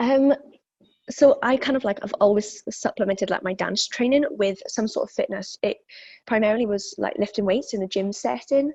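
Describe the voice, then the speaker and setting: A woman with a slight Welsh accent, a fairly high pitch and a dark, mellow tone, somewhat breathy, at a moderate pace. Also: ordinary pitch variation. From South Wales. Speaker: fitness instructor. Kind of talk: interview. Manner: hesitant, many fillers.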